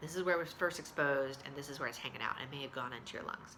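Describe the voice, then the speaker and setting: A woman speaks with ordinary pitch variation, and the room echo is audible. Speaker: video blogger. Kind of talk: casual vlog update. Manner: hesitant, many fillers.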